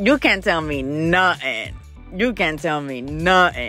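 A woman's very deep, low voice with ordinary pitch variation, a dry sound with no echo, and faint music in the background. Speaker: beauty vlogger. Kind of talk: casual voice-over hair tutorial. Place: home room. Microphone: phone near.

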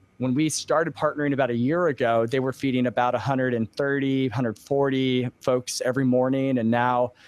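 A man's monotone, flat delivery at a moderate pace, with hardly any pauses and a dry sound with no echo. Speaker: pastor, podcaster, interview guest. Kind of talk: interview answer. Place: home room. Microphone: studio mic.

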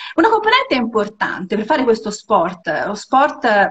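A woman's fairly high, somewhat breathy voice at a very slow pace. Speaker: interviewer. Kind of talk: casual interview. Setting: video call. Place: home room. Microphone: phone near.

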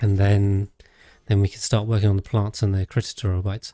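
Recorded dry and close with no echo, a man with a fairly low pitch speaks in a relaxed tone, his voice dark, mellow and somewhat breathy. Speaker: gaming streamer. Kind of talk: live gameplay commentary. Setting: home streaming setup. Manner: relaxed, rambling with many fillers.

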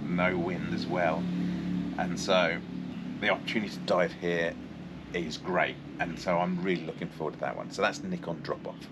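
Loud background noise sits under the speech. The pace is moderate, with long, frequent pauses. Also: man, ordinary pitch variation. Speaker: dive guide or vlogger. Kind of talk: tutorial-style explanation. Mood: enthusiastic, looking forward.

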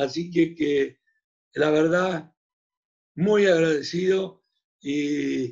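Against a quiet background, a man with a fairly high pitch talks with ordinary pitch variation. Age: 70s. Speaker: chamber of commerce president; host of federation webinar. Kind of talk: closing remarks. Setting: video call. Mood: grateful, warm. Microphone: video call.

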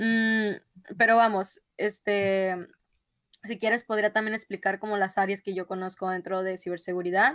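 Speaking in a northern Mexican accent over a quiet background, a woman uses a medium pitch, a moderate pace, and monotone, flat intonation. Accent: northern Mexican (Sinaloa). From northern Mexico, Culiacán, Sinaloa; Sinaloa, Mexico. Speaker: software engineer, cybersecurity specialist; guest. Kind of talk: interview. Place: home room.

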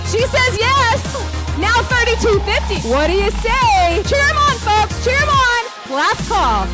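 Over loud background music, a woman speaks with an American accent in a dry sound with no echo. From Portland, Oregon. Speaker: benefit auctioneer. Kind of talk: charity auction bid calling. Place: hall.

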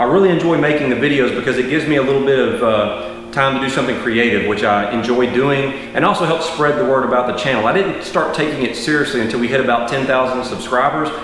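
A man at a very fast pace and very even loudness, with audible room echo and light background noise. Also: ordinary pitch variation. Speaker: channel host. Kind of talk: casual vlog intro to camera. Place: garage.

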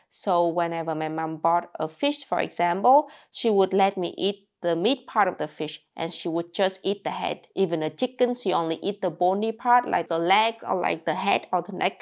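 In a Vietnamese accent, a woman speaks at a moderate pace with lively intonation over a quiet background. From rural Vietnam. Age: 20s. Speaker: YouTuber. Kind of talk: casual vlog storytelling. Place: home room. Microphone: lapel.

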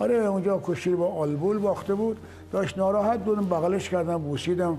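Faint music plays behind a man who speaks at a very fast pace and high pitch, with ordinary pitch variation. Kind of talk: interview answer. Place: home room.

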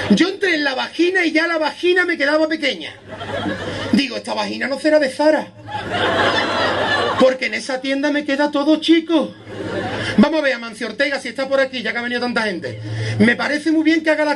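At a fairly quick pace but with long, frequent pauses, a man speaks at an extremely high pitch with ordinary pitch variation, and noticeable background noise can be heard. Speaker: stand-up comedian. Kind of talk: stand-up comedy monologue to live audience. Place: beach. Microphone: camera far.

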